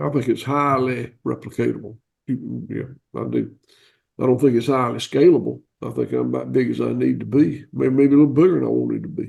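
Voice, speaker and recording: A man with a slight Southern US accent at a fairly quick pace. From US South. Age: 60s. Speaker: cattle farmer. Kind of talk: interview. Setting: video call. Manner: halting.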